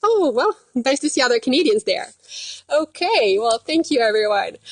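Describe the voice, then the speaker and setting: Her voice is high-pitched, with very wide pitch swings and very even loudness. The woman speaks at a moderate pace. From Quebec, Canada. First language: French. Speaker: dietitian. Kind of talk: live stream casual chat. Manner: hesitant, many fillers.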